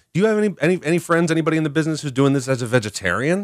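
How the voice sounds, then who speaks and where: A man talks with very wide pitch swings, and the recording is very clean with a silent background. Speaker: radio host. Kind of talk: casual radio interview. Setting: radio studio. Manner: animated, chatty.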